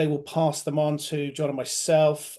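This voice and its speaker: This man talks in an American accent, his voice pitched fairly high. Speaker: webinar host, client director. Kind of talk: business webinar presentation. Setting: online webinar over home broadband. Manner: hesitant, many fillers (um, uh).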